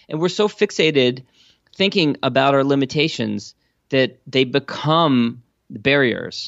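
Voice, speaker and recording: He has an unremarkable speaking voice with an American accent. His pitch sits fairly high for a man. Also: ordinary pitch variation, fairly slow pace. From Washington DC area. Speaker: entrepreneur and podcast host. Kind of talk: interview.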